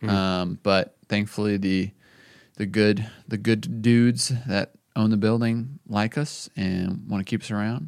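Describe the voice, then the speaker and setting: Recorded very cleanly against a silent background, a man speaks at a fairly slow pace in a fairly low pitch with ordinary pitch variation and an unremarkable speaking voice. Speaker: podcast host and coffee company founder. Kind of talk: casual chat.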